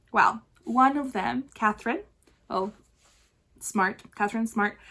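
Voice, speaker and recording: The voice has a bright, sharp tone, a slight Chilean accent, ordinary pitch variation and a fairly slow pace. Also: woman. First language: Spanish. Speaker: knitting podcaster. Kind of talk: casual video podcast chat. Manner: chatty, frequent fillers and restarts.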